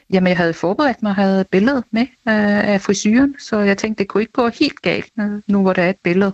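A woman's ordinary speaking voice, medium in pitch, with ordinary pitch variation, very even loudness and a fairly quick pace. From Denmark, Næstved. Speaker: listener. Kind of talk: testimony.

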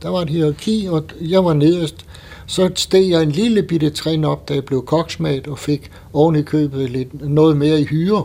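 A man talks fairly slowly in a fairly high voice, his pitch varying in an ordinary way, with noticeable background noise behind him. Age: 80s+. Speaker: former ship's boy, war-era veteran. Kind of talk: testimony. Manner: halting.

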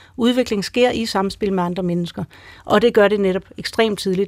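Here is a woman with a plain, everyday voice. She talks at a fairly quick pace with medium pitch and fairly even intonation. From Greenland. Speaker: motherhood expert. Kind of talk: radio panel discussion.

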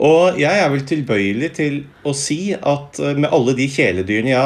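Lively intonation runs through a man's speech. He has an ordinary speaking voice at medium pitch. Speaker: philosophy professor. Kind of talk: interview.

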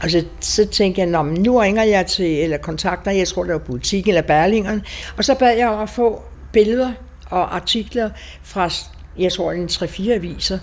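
This woman has a medium pitch and vocal fry. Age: 80s+. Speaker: survivor of wartime bombing. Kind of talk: personal testimony interview. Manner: halting.

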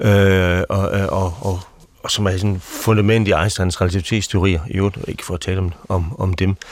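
Very deep, low male pitch with fairly even intonation. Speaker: pastor. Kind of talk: panel discussion. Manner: halting.

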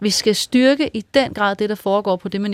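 A woman's unremarkable speaking voice at a fairly slow pace, dry and close with no echo. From Vendsyssel, northern Jutland, Denmark. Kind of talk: radio discussion, interview. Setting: studio.

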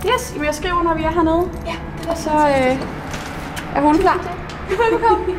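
At an extremely high pitch, a woman speaks very slowly with ordinary pitch variation. Audible room echo and noticeable background noise fill the recording. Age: 30s. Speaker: accountant and volunteer dog walker. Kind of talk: on-location interview.

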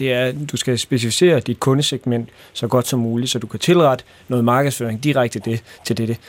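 This man keeps his intonation fairly even while speaking at a moderate speed. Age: 30s. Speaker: entrepreneur. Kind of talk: casual chat. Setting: studio. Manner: hesitant with many fillers.

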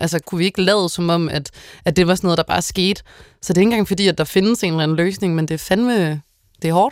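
A woman's medium-pitched voice at a very fast pace, with long, frequent pauses, in a very clean recording with a silent background. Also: ordinary pitch variation. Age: 20s. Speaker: tv host. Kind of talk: casual chat.

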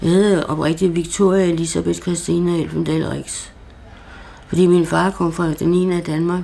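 A woman speaks fairly slowly at a fairly low pitch, in a monotone, flat intonation. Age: 60s. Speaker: psychiatric patient. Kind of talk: interview. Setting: at home. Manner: halting.

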